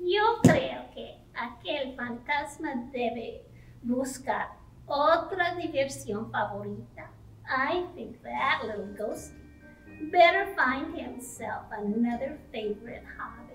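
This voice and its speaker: Over clear background music, a woman uses a high-pitched cartoonish character voice at a fairly slow pace. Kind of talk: children's bilingual puppet show. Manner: upbeat, confident.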